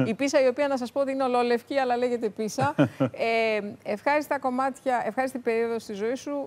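A woman talks at a fairly quick pace in a fairly high voice with ordinary pitch variation. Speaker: talk show host. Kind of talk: casual chat. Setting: studio. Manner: laughs often. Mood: warm, friendly. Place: studio.

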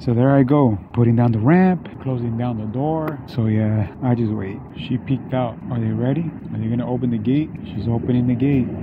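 Over noticeable background noise, a man talks at a moderate pace with ordinary pitch variation and hardly any pauses, the sound dry with no echo. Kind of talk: casual vlog chat. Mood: relaxed, explaining. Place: street. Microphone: phone near.

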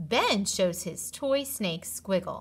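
Speaking slowly with lively intonation, a woman keeps to a medium pitch.

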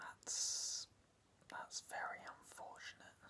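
A man whispering at a very slow pace. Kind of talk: comedic role-play monologue to camera. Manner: soft calming ASMR-style speech. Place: home room. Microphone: phone near.

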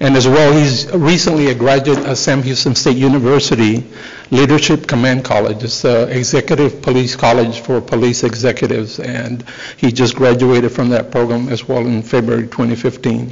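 The pace here is moderate. Intonation stays fairly even. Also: man. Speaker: police chief addressing council. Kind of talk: formal announcement speech. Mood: proud, formal. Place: hall. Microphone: podium.

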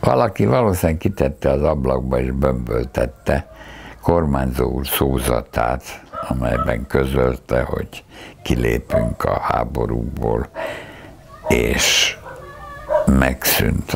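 A man with a very deep, low pitch speaks very slowly, taking long, frequent pauses. His intonation is fairly even, and noticeable background noise can be heard. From Hungary. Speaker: philosopher, university professor. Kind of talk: oral history interview answer. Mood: reflective, recalling wartime childhood. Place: home room. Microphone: lapel.

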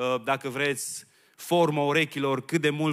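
The background is quiet while a man talks. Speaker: preacher. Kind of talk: sermon. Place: church. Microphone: handheld.

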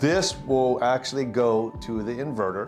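A man speaks at a fairly slow pace. Clear music plays in the background. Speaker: product reviewer. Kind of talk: product review tutorial. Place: home room. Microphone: lapel.

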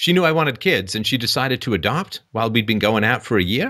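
A man speaks at a medium pitch in a bright, sharp tone with lively intonation. The recording is very clean, with a silent background.

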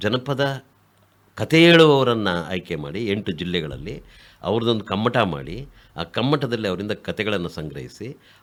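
This man has a fairly low pitch with vocal fry. His pitch swings very widely on a very clean recording with a silent background. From Kolar district, Karnataka. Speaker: writer and activist. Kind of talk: radio interview.

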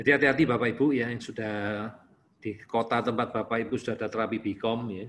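A man's fairly low voice with light background noise. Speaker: doctor giving online consultation to parents. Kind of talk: online presentation and Q&A. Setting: online session. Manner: casual, filler-heavy with frequent 'ya'. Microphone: video call.

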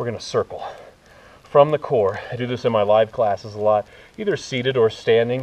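Lively intonation marks this man's speech. His pace is moderate. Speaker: fitness instructor. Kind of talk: workout instruction. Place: forest.

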